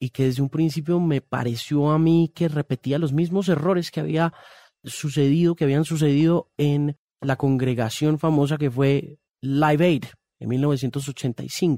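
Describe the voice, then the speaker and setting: On a very clean recording with a silent background and a dry, close sound with no echo, a man with a fairly high pitch and a dark, mellow tone talks at a fairly slow pace with ordinary pitch variation. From Colombia, raised partly in Miami area from adolescence. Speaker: music journalist and author. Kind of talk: interview conversation.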